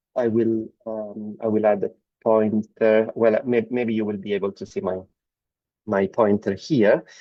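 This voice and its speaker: A man speaks fairly slowly with monotone, flat intonation. His pitch sits fairly low. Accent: Italian. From Italy. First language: Italian. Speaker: medical oncologist. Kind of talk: lecture.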